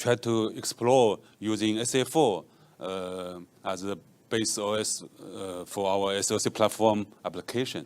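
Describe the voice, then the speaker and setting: A man with a Chinese accent speaks at a fairly slow pace and fairly low pitch, with ordinary pitch variation. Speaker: software engineer; conference presenter. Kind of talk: conference talk. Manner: halting, many fillers. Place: hall. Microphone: handheld.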